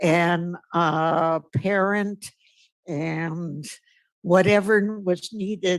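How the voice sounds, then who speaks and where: A woman talks at a very slow pace with fairly even intonation. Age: 80s+. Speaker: public commenter, retired teacher. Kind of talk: public comment at a meeting.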